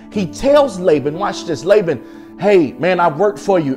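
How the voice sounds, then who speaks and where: An energetic man speaks over clear music in the background. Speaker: preacher. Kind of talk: sermon delivered to a congregation. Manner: energetic, emphatic, conversational. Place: studio. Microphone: lapel.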